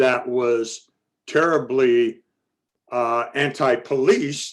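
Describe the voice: A man speaks loudly at a medium pitch.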